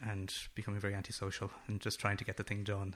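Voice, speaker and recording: A man's fairly low, bright, sharp voice in a western Irish accent, fairly quick and monotone, with flat intonation, on a very clean recording with a silent background. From west of Ireland. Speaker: film director. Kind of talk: interview. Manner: repeats words, fillers.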